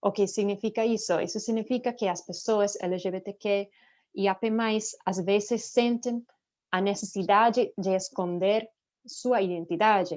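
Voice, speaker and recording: Speaking with a non-native accent, a woman keeps a medium pitch and fairly even intonation at a fairly slow pace. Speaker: nonprofit director. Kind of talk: panel talk. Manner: halting.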